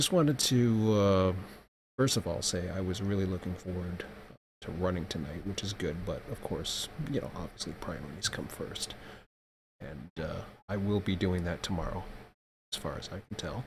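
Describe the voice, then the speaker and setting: A soft-spoken man talks at a moderate pace in a very deep, low, somewhat breathy voice. His pitch variation is ordinary, and he takes long, frequent pauses. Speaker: streamer / vlogger. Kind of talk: casual vlog update. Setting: at home at night, child asleep. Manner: hesitant, many fillers.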